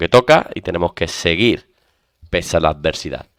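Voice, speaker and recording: A man with an Andalusian accent at a moderate pace, on a very clean recording with a silent background. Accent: Andalusian (Seville). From Spain, Seville. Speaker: exam prep teacher. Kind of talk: lecture.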